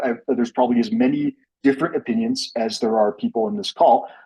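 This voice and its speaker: A man at a fairly quick pace with very wide pitch swings, music in the background. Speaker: climate scientist. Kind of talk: lecture. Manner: fast.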